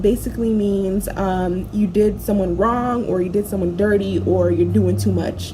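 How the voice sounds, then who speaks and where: Moderately paced speech in an American accent over noticeable background noise. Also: woman. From Florida, USA. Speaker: YouTuber. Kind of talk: casual talk to camera. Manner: casual, slangy.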